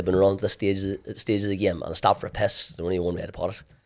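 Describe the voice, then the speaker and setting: This man has a fairly low voice and a Northern Irish accent. The recording is very clean and the background silent. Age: 40s. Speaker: endurance athlete. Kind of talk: interview. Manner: halting.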